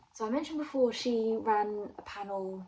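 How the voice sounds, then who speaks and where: A woman talks at a fairly high pitch with ordinary variation. Noticeable background noise is present. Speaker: vlogger and aspiring crime writer. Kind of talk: casual vlog.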